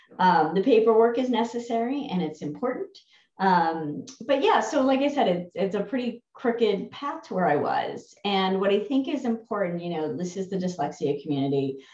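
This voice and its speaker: A woman with a New Jersey accent, moderate pace and very wide pitch swings. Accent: New Jersey American. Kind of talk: interview. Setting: video call.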